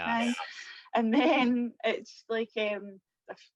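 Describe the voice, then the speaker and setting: In a Scottish accent, a woman speaks at a fairly high pitch with ordinary pitch variation. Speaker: social media artist and blogger. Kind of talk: interview answer. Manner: upbeat, chatty.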